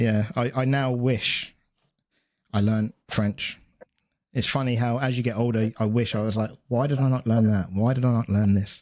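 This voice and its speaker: On a very clean recording with a silent background, a man with an English accent talks at a moderate pace and medium pitch, his intonation fairly even and his loudness very even. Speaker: podcast host and strength coach. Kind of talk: casual interview chat. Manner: halting, many repeated words.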